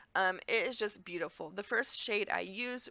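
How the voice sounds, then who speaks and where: Speaking at a moderate pace, a woman shows vocal fry and lively intonation. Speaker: beauty youtuber. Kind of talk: makeup tutorial voiceover. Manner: casual, chatty.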